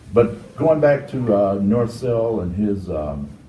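A man with a fairly low voice talks over light background noise, and room echo can be heard. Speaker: interviewee. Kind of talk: interview answer.

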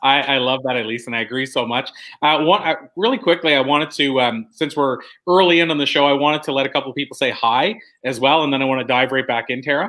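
A man talks at a very fast pace with a fairly high pitch and a bright, sharp tone. His pitch variation is ordinary, and the background is quiet. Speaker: online event host. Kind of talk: live-streamed casual interview. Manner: animated. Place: home room.

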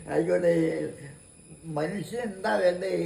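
Noticeable background noise sits behind a man with a high voice. His pitch swings very widely. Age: 80s+. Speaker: former radio presenter. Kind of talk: interview answer.

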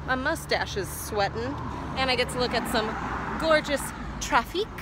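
A raised, projected voice, dry with no echo, over noticeable background noise. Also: woman. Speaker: travel vlogger. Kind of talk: casual vlog chat. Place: street. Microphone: phone near.

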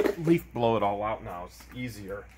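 A man talks at a moderate pace with fairly low pitch and lively intonation over faint background noise.

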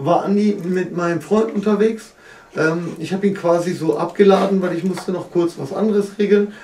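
This man's voice is high in pitch, with fairly even intonation at a moderate pace. The room echo is audible and there's light background noise. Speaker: host of a hip-hop interview. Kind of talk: casual interview chat. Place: studio.

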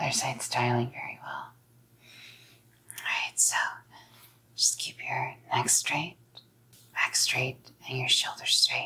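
A woman whispers in a put-on character voice with a husky, rough edge and vocal fry. Her pace is fairly slow, broken by long, frequent pauses.

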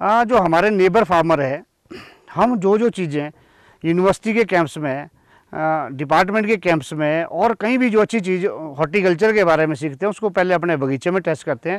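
A man's high-pitched voice with ordinary pitch variation, dry and close with no echo. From Himachal Pradesh, Shimla district. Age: 50s. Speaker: apple farmer. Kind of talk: interview on own farm.

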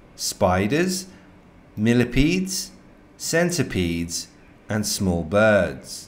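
Pitch swings very widely as the speaker moves at a very slow pace. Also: man. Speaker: educational narrator. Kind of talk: nature documentary narration for young learners. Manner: clear, slow, simple wording, friendly; gently enthusiastic, storyteller tone.

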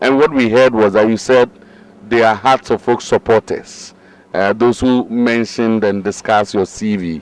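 An ordinary speaking voice from a man at medium pitch, with fairly even intonation, a fairly slow pace and a dry sound with no echo. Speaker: sports interviewer. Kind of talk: interview. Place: stadium. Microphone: handheld.

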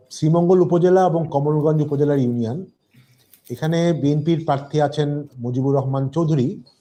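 Audible room echo surrounds a man with a fairly high pitch and a dark, mellow tone. His intonation stays fairly even. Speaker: podcast host and election analyst. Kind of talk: political analysis discussion.

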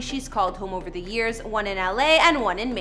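Faint music plays in the background. The speaker uses a raised, projected voice at a fairly quick pace. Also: woman. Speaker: entertainment channel host. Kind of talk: presenter narration. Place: studio.

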